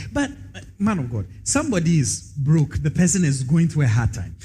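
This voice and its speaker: With vocal fry, a man speaks at a moderate pace in a fairly high pitch that moves in very wide swings. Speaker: co-host reading listener questions. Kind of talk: religious teaching discussion.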